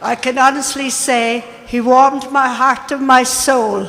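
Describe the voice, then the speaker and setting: The speaker has an Irish accent and a monotone, flat intonation. Noticeable background noise runs under the voice. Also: woman. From Ireland. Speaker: deputy mayor. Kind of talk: formal speech at event.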